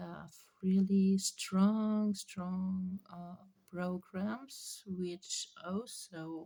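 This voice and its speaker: A woman's dark, mellow, somewhat breathy voice at a medium pitch, with a non-native accent and fairly even intonation. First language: not English. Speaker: spiritual channeler. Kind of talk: spiritual reading monologue. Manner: halting, many fillers.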